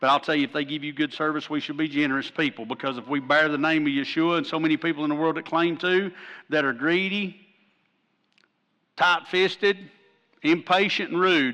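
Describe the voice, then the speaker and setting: A man with an Appalachian accent has a fairly high pitch, a bright, sharp tone and ordinary pitch variation. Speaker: pastor. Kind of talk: sermon. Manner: animated.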